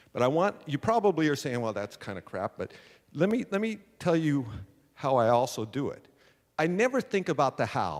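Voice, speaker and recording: Here a man speaks with an American accent and very wide pitch swings. The recording is very clean, with a silent background. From San Diego, California. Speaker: entrepreneur and speaker. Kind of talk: motivational talk. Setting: stage with audience. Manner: loud; animated.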